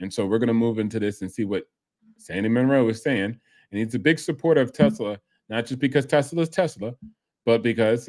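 Lively intonation and a fairly quick pace mark this man's speech over a quiet background. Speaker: reaction channel host. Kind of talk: commentary.

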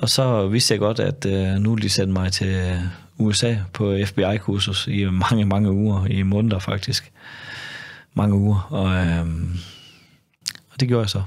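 At a very slow pace and fairly low pitch, a man talks with fairly even intonation, very even loudness, and long, frequent pauses against a quiet background. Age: 50s. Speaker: former undercover police officer. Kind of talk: casual interview conversation. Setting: studio. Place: studio. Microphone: studio mic.

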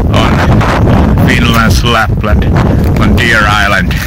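Loud background noise surrounds a man who speaks at a very slow pace. The sound itself is dry, with no echo. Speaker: vlogger. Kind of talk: casual vlog chat. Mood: playful, rambling. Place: beach. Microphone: phone near.

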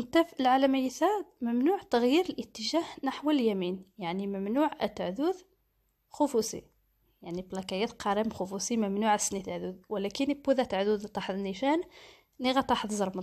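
In an ordinary speaking voice, fairly high in pitch, a woman talks at a moderate pace with lively intonation on a very clean recording with a silent background. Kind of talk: driving theory lesson.

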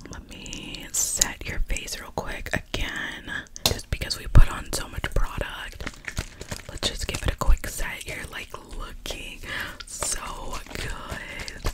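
Whispering, a woman speaks at a very slow pace. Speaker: makeup roleplay host. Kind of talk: casual roleplay chat to viewer. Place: home room. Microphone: earbuds.

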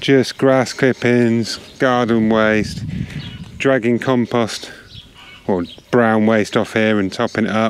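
At a slow pace, a man speaks in a clear, smooth, fairly low voice with fairly even intonation.

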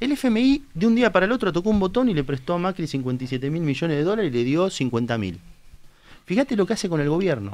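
Speaking at a fairly quick pace, a man uses a high pitch that swings very widely. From Argentina, Tandil; Argentina. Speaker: politician, candidate. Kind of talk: political interview on live talk show. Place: studio. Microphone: studio mic.

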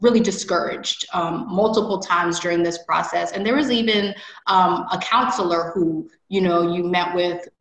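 A woman's medium-pitched voice with an American accent, ordinary pitch variation, audible room echo and a quiet background. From US Midwest. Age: 30s. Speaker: MBA admit; interviewee. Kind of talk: interview. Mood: grateful, reflective. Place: home room. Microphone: video call.

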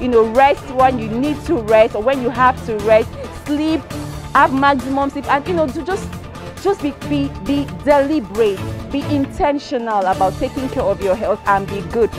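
A woman at a moderate pace, dry sound with no echo, clear music in the background. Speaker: presenter. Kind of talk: presenter recap to camera. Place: street. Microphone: handheld.

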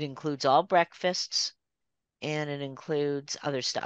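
A woman with a Canadian accent speaks at a moderate pace in a very deep, low pitch. The sound is dry with no echo, and the background is quiet. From Toronto, Canada. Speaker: watercolor artist. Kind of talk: casual presentation. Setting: video call. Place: home room. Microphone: video call.

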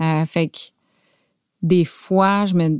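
A woman with a fairly low pitch speaks very slowly in a Quebec accent, her intonation monotone and flat. The sound is dry with no echo, and the background is quiet. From Quebec City, Canada; Quebec, Canada. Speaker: factory director; podcast guest. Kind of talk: casual interview. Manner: halting, hesitant, many fillers. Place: studio. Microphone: studio mic.

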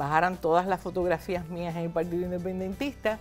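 Faint music plays in the background. Over it, a woman speaks at a fairly low pitch. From Puerto Rico. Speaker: former senator and professor. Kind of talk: interview answer. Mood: reflective, animated storytelling. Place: studio. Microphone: lapel.

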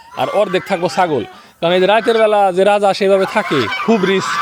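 This man's voice sits at a high pitch while noticeable background noise runs behind him. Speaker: farm vlogger. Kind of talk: casual vlog narration.

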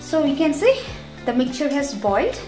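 Clear music plays behind a woman whose voice sits high in pitch. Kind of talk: tutorial. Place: kitchen.

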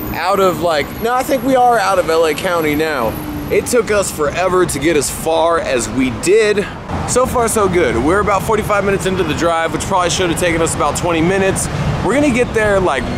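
A man speaks at a fairly quick pace. The sound is dry with no echo, though background noise is noticeable. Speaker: vlogger. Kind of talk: casual vlog chat. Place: street. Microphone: phone near.

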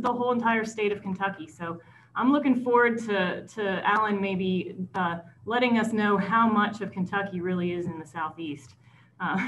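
A woman speaks at a moderate pace with lively intonation. There is light background noise. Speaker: host introducing a speaker. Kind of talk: speaker introduction. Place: home room. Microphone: video call.

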